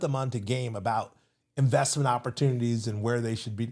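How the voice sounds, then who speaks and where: Very fast, somewhat breathy speech with a dark, mellow tone and an American accent, on a very clean recording with a silent background. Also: man. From California, Seaside. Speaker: entrepreneur and investment speaker. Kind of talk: interview conversation.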